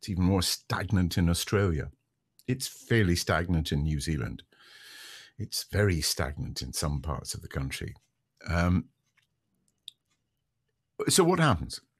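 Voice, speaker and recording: Speaking at a fairly slow pace with long, frequent pauses, a man uses a very deep, low pitch with vocal fry. His intonation is lively, and the background is quiet. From Scotland. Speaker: radio broadcaster. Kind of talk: interview answer.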